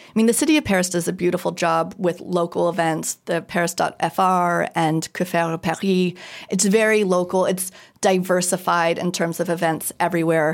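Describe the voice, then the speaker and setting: Speaking with a General American accent, a woman with a fairly low pitch and an unremarkable speaking voice keeps a moderate pace, fairly even intonation and very even loudness. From US, moved around (Minnesota, Kansas, Idaho, Virginia). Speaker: designer and Paris tour guide. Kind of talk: casual interview.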